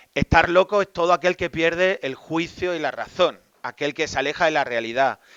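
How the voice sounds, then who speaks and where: A man's fairly high voice in an Extremaduran accent, at a moderate pace with ordinary pitch variation. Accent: Extremaduran Spanish, noticeable. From Spain, Extremadura (Badajoz). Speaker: Jesuit priest and psychologist. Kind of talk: talk to a live audience.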